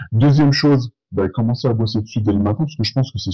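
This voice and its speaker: A man's dark, mellow, somewhat breathy voice at a medium pitch and a very fast pace, with ordinary pitch variation. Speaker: podcaster, accountant. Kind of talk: solo podcast monologue. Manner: casual, hesitant with fillers.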